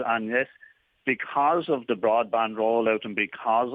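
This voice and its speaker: A man's medium-pitched voice with an Irish accent, fairly even intonation and a moderate pace. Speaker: auctioneer / estate agent (business owner). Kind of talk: radio business interview answer.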